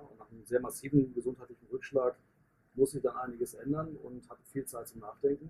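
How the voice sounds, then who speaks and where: A man talks at a fairly quick pace in a fairly high, somewhat breathy voice with a dark, mellow tone and monotone, flat intonation. His loudness swings a lot, and the sound is dry and close with no echo. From northern Germany, Hanover. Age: 50s. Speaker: business coach and network marketer. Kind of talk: podcast interview. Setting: in person, outdoors in the sun.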